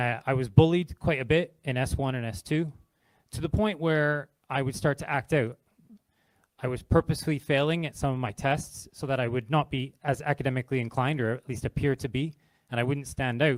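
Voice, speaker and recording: A man with a fairly high pitch speaks at a fairly quick pace with ordinary pitch variation, in a very clean recording with a silent background and a dry, close sound with no echo. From Canada. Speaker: charity partnerships manager. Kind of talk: public talk. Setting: stage with audience.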